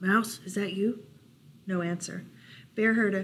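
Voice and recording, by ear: A natural voice reading aloud, with fairly even intonation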